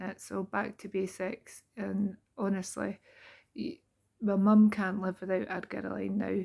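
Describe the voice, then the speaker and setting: A Scottish accent at a moderate pace, in a very clean recording with a silent background. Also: woman. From Scotland. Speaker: beauty therapist. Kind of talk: casual talk to camera. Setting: home, late at night.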